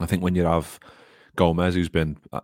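In a Liverpool accent, a man speaks at a fairly quick pace with a very deep, low pitch. The sound is dry and close with no echo, on a very clean recording with a silent background. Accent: Scouse. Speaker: Liverpool fan podcast host. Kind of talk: casual chat. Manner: informal, excitable.

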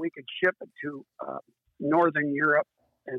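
Pitched fairly high, a man speaks with a US Midwestern accent. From Iowa, US Midwest. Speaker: recreational boater. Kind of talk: casual interview. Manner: halting, many fillers.

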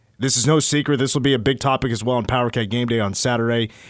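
A man with an American accent speaks in an unremarkable speaking voice, medium in pitch, at a fairly quick pace. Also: very clean recording, silent background. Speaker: sports radio host. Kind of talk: casual sports talk radio. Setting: studio.

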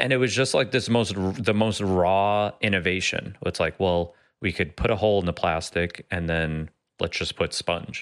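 The speaker has a plain, everyday voice, talking at a moderate pace with ordinary pitch variation. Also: man, fairly low pitch for a man. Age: 40s. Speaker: podcast co-host. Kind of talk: casual chat. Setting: video call.

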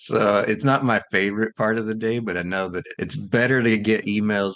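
Heard dry and close with no echo, a man speaks at a moderate pace in a fairly low pitch. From US South, South Carolina. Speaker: children's book author and illustrator. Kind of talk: interview. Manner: halting, with frequent fillers and repeats.

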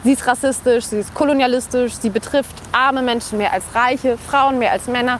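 A woman's high voice at a moderate pace amid noticeable background noise. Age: 20s. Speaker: climate activist and university student. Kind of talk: interview.

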